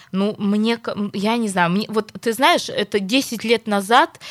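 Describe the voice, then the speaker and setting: On a very clean recording with a silent background, a woman with a normal speaking voice talks at a moderate pace and medium pitch. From Perm, Russia. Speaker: radio host. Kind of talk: morning radio talk show.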